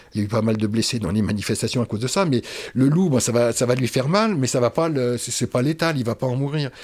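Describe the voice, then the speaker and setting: A man speaks in a middle pitch, his words coming very quickly. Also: ordinary pitch variation. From Paris region, Oise. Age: 60s. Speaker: retired forester. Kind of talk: interview. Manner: halting, repeats words.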